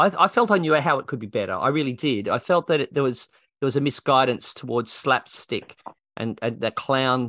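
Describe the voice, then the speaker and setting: Against a quiet background, a man with an Australian accent speaks fairly quickly in a medium pitch with a bright, sharp tone. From Australia, New South Wales. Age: 60s. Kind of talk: interview. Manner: talkative.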